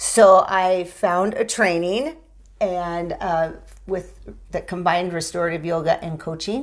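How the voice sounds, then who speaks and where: A woman's fairly low voice, a plain, everyday voice, fairly slow with fairly even intonation, in a very clean recording with a silent background. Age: 50s. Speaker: chiropractor and author on sobriety. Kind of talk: casual interview.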